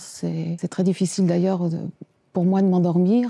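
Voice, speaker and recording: Recorded very cleanly against a silent background, a woman talks at a moderate pace with a medium pitch and a dark, mellow tone. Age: 60s. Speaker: Parkinson's patient. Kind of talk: testimony. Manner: halting.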